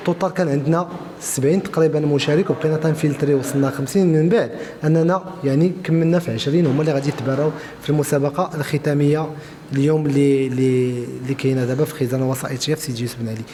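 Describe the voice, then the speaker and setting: A man's fairly high voice at a very fast pace, fairly even in intonation, over noticeable background noise. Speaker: regional official of a traders' union. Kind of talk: interview. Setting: event at a media library. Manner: halting, many fillers.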